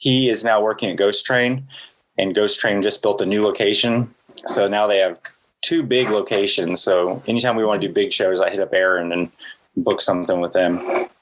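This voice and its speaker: Speaking at a moderate pace with very even loudness, a man uses a fairly low pitch and ordinary pitch variation. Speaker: artist and event organizer. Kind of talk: casual interview chat.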